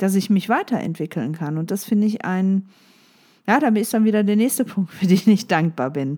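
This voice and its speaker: A woman's medium-pitched voice carries a dark, mellow tone. The recording is very clean, with a silent background. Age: 40s. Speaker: life coach podcaster. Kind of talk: solo motivational podcast monologue. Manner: casual with frequent fillers.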